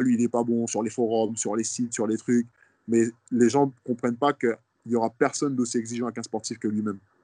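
A man's dark, mellow tone in monotone, flat intonation, with a dry, close sound with no echo and a quiet background. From Guadeloupe. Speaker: professional basketball player. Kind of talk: interview.

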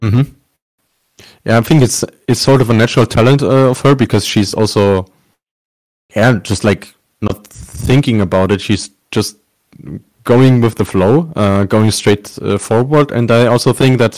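Moderate pace with long, frequent pauses, ordinary pitch variation, and very even loudness. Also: man, medium pitch for a man. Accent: German. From Germany. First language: German. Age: 20s. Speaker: sports journalist. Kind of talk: interview.

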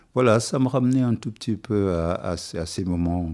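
The recording is very clean and the background silent. A man talks in a dark, mellow tone, his pitch varying in an ordinary way. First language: Wolof (speaking French). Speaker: musician. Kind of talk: interview.

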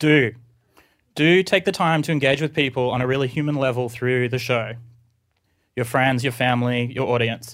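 A man's medium-pitched voice with an Australian accent, at a moderate pace with ordinary pitch variation, long and frequent pauses, and a very clean recording over a silent background. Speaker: podcast producer and artist. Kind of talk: reading a letter aloud to an audience. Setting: stage with audience.

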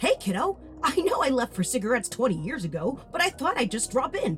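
With clear music in the background, a woman does a high-pitched, put-on character voice at a fairly quick pace. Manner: mocking, glib.

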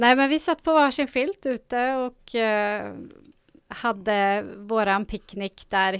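In a dry, close sound with no echo and a very clean, silent background, a woman speaks very slowly at a fairly high pitch with ordinary pitch variation. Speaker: radio co-host and youth radio supervisor. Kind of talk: casual radio chat. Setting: radio studio.

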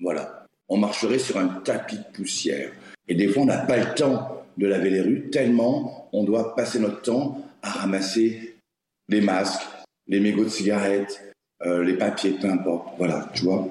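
At a fairly slow pace, a man speaks with a fairly low pitch, and audible room echo surrounds him. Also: ordinary pitch variation. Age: 40s. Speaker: garbage collector and social media creator. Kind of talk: casual interview chat.

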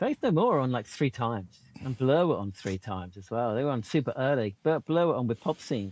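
A man with a British accent speaks at a medium pitch. His pace is fairly quick, with hardly any pauses. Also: lively intonation. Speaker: podcast co-host. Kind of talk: casual podcast chat.

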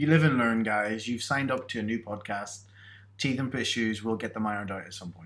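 A man speaks fairly quickly. His accent is British. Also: medium pitch for a man, ordinary pitch variation. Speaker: podcast co-host. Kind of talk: casual chat. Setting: in person, sharing one microphone.

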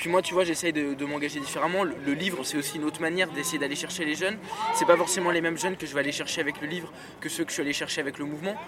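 Words come at a very fast pace with fairly even intonation. Noticeable background noise is present. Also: man, fairly high pitch for a man. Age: 20s. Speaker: student and youth movement founder. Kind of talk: casual interview chat. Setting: outdoors in a park.

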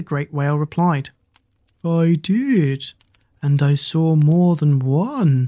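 The voice moves at a very slow pace with a gentle tone, on a very clean recording with a silent background. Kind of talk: bedtime story narration, read aloud by the fire. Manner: gentle, unhurried storyteller, shifting into character voices for dialogue; warm, expressive, soothing.

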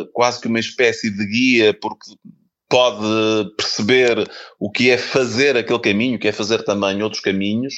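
In a flat, monotone delivery, a man's voice sits at a middle pitch. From Portugal, Porto. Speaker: filmmaker and author. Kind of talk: interview.

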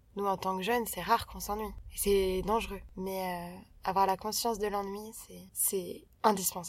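A woman's flat, monotone delivery broken by long, frequent pauses. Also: medium pitch for a woman, moderate pace. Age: 20s. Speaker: podcast co-host. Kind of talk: casual chat.

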